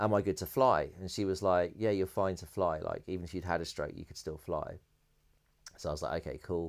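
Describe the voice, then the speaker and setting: A man with a British accent and a very deep, low pitch, fairly quick and fairly even in intonation yet with big swings in loudness, on a very clean recording with a silent background. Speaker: electronic music producer and DJ. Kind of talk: interview, personal storytelling. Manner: fast.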